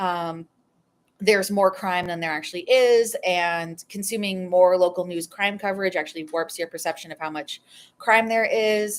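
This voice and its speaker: With an American accent, a woman speaks at a medium pitch with ordinary pitch variation in an unremarkable speaking voice. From New England, US. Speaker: political psychology youtuber. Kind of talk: live stream Q&A. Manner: casual, many fillers.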